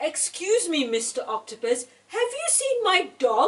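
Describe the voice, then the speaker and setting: A woman uses a put-on character voice at an extremely high pitch with very wide pitch swings. She keeps a moderate pace. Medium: read story.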